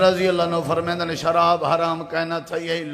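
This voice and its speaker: Amid noticeable background noise, a man speaks in a raised, projected voice. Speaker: Islamic preacher and Quran reciter. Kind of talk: Islamic sermon (bayan) to a live audience. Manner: passionate, preaching, storytelling.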